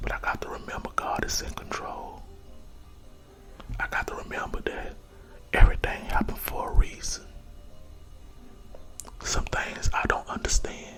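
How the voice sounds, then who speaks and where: A man whispers with long, frequent pauses and big swings in loudness. Music plays in the background. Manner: whispered, soft-spoken, slow, repetitive.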